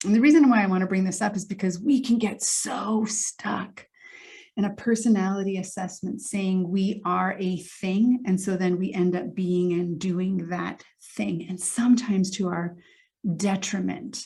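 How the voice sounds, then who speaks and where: The woman's voice is somewhat breathy, with a dark, mellow tone. She speaks at a moderate pace with fairly even intonation. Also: medium pitch for a woman. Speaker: emotional intelligence coach. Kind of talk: motivational talk to camera.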